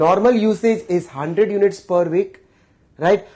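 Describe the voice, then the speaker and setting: A man's voice, dark and mellow in tone, with ordinary pitch variation. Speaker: lecturer. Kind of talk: lecture.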